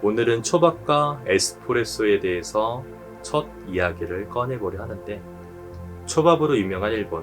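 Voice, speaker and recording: Music plays in the background as a man talks at a moderate pace. His voice is fairly low-pitched, with lively intonation. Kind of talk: sleep-aid reading. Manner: calm, soothing.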